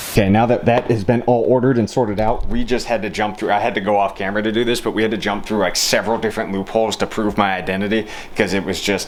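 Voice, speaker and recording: Hardly any pauses interrupt a man who speaks at a very fast pace and fairly low pitch over noticeable background noise. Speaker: car vlogger. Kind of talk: casual vlog talk. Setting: car workshop. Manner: animated.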